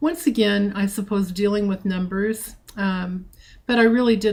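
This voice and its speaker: A somewhat breathy woman at a fairly slow pace with fairly even intonation. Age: 60s. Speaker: trading group organizer. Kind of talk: personal introduction talk. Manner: hesitant, with frequent fillers.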